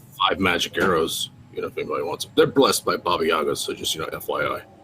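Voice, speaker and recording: A man puts on a character voice that is raspy and extremely high pitched. He talks at a very fast pace with clear background noise. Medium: actual play. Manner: hesitant, casual.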